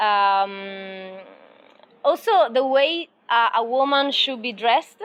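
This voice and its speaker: At a very slow pace, a woman talks with lively intonation and a fairly high pitch. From Italy. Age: 20s. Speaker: volunteer psychologist. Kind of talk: interview. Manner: halting, many fillers.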